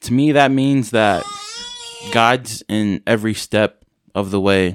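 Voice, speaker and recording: An ordinary speaking voice belongs to a man with an American accent and a medium pitch. The sound is dry and close with no echo, in a very clean recording with a silent background. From San Francisco, California. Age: 20s. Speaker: social work student and new father. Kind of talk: casual interview.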